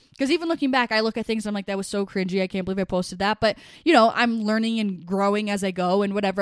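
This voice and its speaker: Speaking at a very fast pace in an American accent, the voice comes through in a very clean recording with a silent background. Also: woman. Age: 20s. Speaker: wellness podcast host. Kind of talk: casual solo monologue. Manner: animated.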